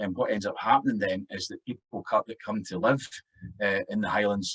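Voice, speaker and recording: A man speaks with a Scottish accent. The sound is dry and close, with no echo. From Scotland. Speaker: Gaelic language consultant. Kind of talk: academic conference talk.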